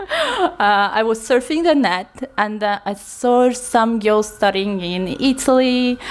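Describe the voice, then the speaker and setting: Over noticeable background noise, a woman with a high pitch speaks at a very slow pace with lively intonation. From eastern Kazakhstan. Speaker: student and English teacher, guest. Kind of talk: casual interview. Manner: hesitant, frequent fillers.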